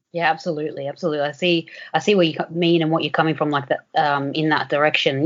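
A woman speaks at a fairly quick pace with a very deep, low pitch and fairly even intonation. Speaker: podcast host. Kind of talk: interview conversation.

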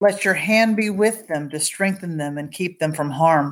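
In a normal speaking voice, a woman talks at a fairly low pitch with ordinary pitch variation on a very clean recording with a silent background. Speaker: devotional prayer leader. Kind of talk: fervent intercessory prayer. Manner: earnest, pleading, heartfelt; reverent, tender.

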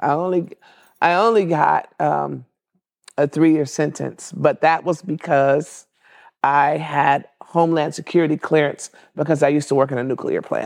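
A woman speaks at a moderate pace in a very deep, low pitch with vocal fry. Her intonation is fairly even. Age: 60s. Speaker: marriage and family therapist. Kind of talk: interview.

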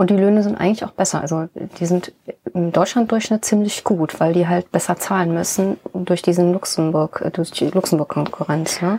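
A woman's ordinary speaking voice, fairly low in pitch, at a moderate pace with fairly even intonation. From Rhineland, Germany (born in Bonn). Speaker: sculptor and stonemason. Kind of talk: casual interview.

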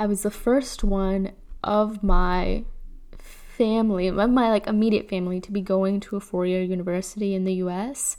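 In a Chicago accent, a woman speaks with fairly even intonation and a dark, mellow tone. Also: medium pitch for a woman, moderate pace. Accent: Chicago American English. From Chicago, US Midwest. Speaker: podcast host. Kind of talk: personal storytelling. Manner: casual, laughs often.

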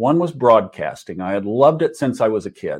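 In an American accent, a man with an unremarkable speaking voice talks at a moderate pace and medium pitch, his intonation lively. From Oklahoma, US. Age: 60s. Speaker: astrologer and podcaster. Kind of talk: casual interview chat.

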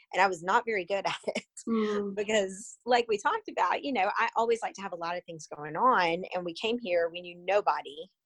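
A woman with an ordinary speaking voice at a moderate pace, her pitch varying in an ordinary way. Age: 40s. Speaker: stage manager and adjunct professor. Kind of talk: casual interview chat.

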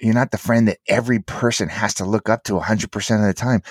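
The speaker has an animated tone, heard in a very clean recording with a silent background. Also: man. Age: 50s. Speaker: entrepreneur, author and endurance athlete. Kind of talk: casual chat.

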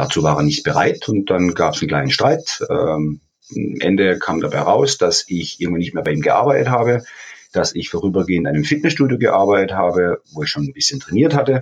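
Speaking at a very fast pace, a man lets his pitch swing very widely. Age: 50s. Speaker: fitness champion and personal trainer. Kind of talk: interview.

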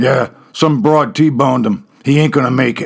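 Gravelly, guttural and raspy, a man uses a put-on character voice at medium pitch. He speaks at a moderate pace with ordinary pitch variation. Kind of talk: rough, slangy.

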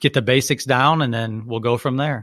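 A man with a plain, everyday voice at a moderate pace and ordinary pitch variation, on a very clean recording with a silent background. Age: 40s. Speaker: martial arts gym owner and podcast co-host. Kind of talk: casual chat.

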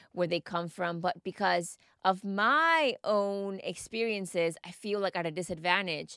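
A woman with a Spanish accent speaks at a moderate pace and medium pitch, her tone animated, upbeat, bright and sharp, with ordinary pitch variation, in a dry, close sound with no echo on a very clean recording with a silent background. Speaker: mindset coach and podcast host. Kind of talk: scripted-style solo monologue podcast.

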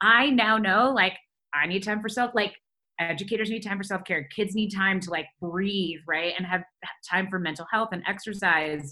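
A woman speaks with an American accent at a medium pitch. Her tone is bright and sharp. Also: ordinary pitch variation, moderate pace. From Michigan, outside Detroit. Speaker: education nonprofit founder. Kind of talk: interview. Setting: video call.

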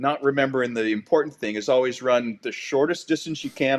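In a quiet background, a man with a Canadian accent speaks at a moderate pace and medium pitch in an unremarkable speaking voice. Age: 50s. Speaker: paramedic and lake lifeguard. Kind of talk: casual interview chat.

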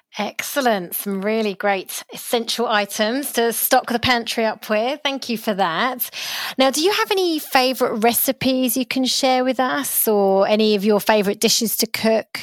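This woman has an ordinary speaking voice, fairly high in pitch, with ordinary pitch variation, a moderate pace and hardly any pauses. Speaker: podcast host. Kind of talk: interview, scripted intro.

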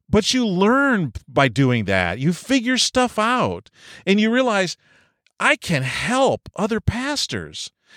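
In an American accent, a man speaks very slowly at a high pitch with very wide pitch swings, captured as a dry, close sound with no echo. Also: very even loudness, very clean recording, silent background. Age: 50s. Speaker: pastor and podcast host. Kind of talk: solo podcast monologue. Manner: personal, conversational.

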